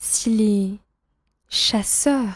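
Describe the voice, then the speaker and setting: Somewhat breathy speech with ordinary pitch variation. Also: woman. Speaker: French teacher reading a story aloud. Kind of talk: reading aloud. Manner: slow; clear.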